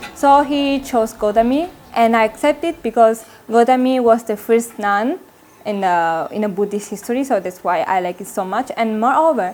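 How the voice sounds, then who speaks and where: A woman speaks in an Italian accent at a fairly high pitch. Her intonation is lively and her pace moderate. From Italy. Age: 20s. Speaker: Buddhist nun, university student. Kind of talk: interview. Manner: halting.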